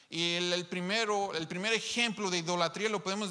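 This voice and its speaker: The background is quiet as a man speaks in a raised, projected voice. His intonation stays fairly even. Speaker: preacher. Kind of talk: sermon. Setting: live stream to an online congregation. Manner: emphatic, repeating key phrases. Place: church. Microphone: handheld.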